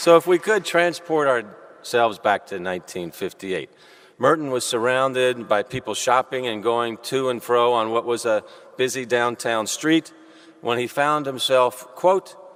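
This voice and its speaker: In an American accent, a normal speaking voice moves at a moderate pace with lively intonation. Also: man, medium pitch for a man. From US South, Louisville, Kentucky. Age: 50s. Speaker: civic leader giving welcome. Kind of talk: welcome speech. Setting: cathedral with audience. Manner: formal.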